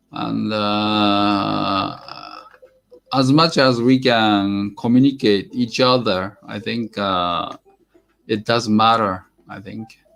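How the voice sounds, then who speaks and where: Speaking at a very slow pace in a Japanese accent, a man with a fairly low pitch keeps his intonation fairly even while his loudness swings a lot. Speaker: airgun hobby livestreamer. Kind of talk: casual live stream chat. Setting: live stream. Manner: halting, many fillers.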